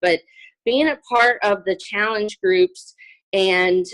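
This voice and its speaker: A woman's voice sounds shaky at a fairly slow pace. The sound is dry and close with no echo. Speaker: fitness coach. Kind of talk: testimony. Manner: halting, many fillers.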